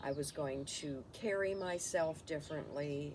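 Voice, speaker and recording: A woman is speaking. Her pace is fairly slow. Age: 60s. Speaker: lifestyle vlogger. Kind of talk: personal reflection monologue. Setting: home, camera recording. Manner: halting, many fillers.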